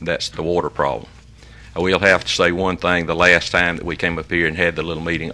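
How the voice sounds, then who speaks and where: With a Southern US accent, a man talks in a very deep, low pitch with a bright, sharp tone and monotone, flat intonation. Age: 70s. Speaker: resident addressing the commission. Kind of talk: public comment.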